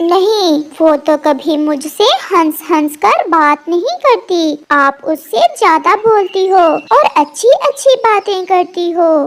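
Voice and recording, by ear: A cartoonish character voice carries lively intonation. It moves at a very slow pace with hardly any pauses. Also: woman, extremely high pitch for a woman.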